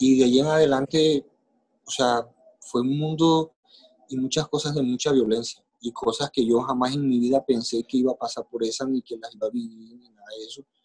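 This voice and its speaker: A man speaks at a moderate pace with an ordinary speaking voice, medium in pitch and fairly even in intonation. His loudness swings widely, and the sound is dry and close with no echo. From Colombia, Caribbean coast (Maicao, La Guajira). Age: 40s. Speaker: podcast guest telling his life story. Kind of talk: personal testimony in interview.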